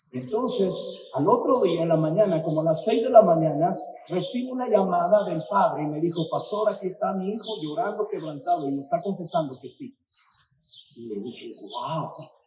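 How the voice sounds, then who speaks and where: Talking at a moderate pace in a high voice, a man uses lively intonation and big swings in loudness, with audible room echo around him. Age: 60s. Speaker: pastor. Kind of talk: sermon. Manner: animated.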